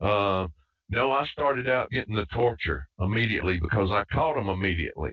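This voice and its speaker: Keeping his loudness very even, a man speaks at a fairly quick pace with a fairly low pitch. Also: lively intonation. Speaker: author, self-described targeted individual. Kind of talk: group call discussion. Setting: group call. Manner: halting, many fillers.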